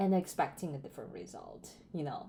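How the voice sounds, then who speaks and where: A woman speaks with a non-native accent in a fairly low voice with a dark, mellow tone and ordinary pitch variation. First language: not English. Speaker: self-improvement vlogger. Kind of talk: casual monologue. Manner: hesitant, many fillers.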